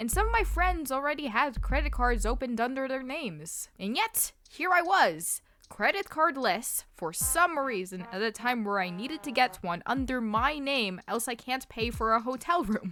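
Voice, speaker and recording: A woman speaks with a high pitch and very wide pitch swings, at a moderate pace with hardly any pauses. Background noise is noticeable. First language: Russian. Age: 20s. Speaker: YouTuber. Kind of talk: vlog narration.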